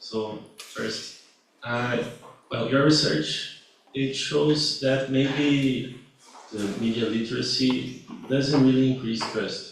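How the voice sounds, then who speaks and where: Noticeable background noise and audible room echo surround a man with a Brazilian accent. He speaks at a very slow pace and medium pitch with fairly even intonation. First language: Portuguese. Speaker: student and journalist, audience member. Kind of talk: audience question at conference.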